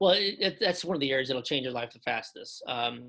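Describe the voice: A man talks at a fairly quick pace. His tone is bright and sharp. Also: medium pitch for a man, lively intonation.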